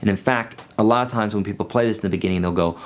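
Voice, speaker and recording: Music plays in the background. A man with a fairly low pitch speaks with ordinary pitch variation. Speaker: guitar teacher. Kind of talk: tutorial.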